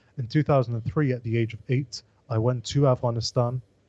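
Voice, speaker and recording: A man's somewhat breathy, medium-pitched voice with a London accent, fairly quick and fairly even in intonation, in a dry, close recording with no echo. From London, England. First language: Pashto. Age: 20s. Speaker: political podcast co-host. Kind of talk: casual chat.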